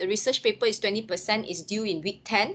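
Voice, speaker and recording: A woman's voice sounds bright and sharp, with a fairly high pitch. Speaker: lecturer. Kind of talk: lecture.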